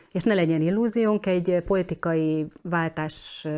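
In a dark, mellow tone, a woman with a fairly low voice speaks at a fairly slow pace with fairly even intonation. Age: 40s. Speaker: journalist. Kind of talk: interview. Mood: earnest, concerned. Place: studio.

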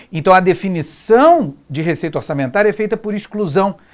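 A man speaks at a moderate pace with lively intonation and a high pitch, over a quiet background. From Brazil. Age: 40s. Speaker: exam prep teacher. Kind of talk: lecture. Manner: informal, frequent filler 'né'. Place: studio. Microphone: lapel.

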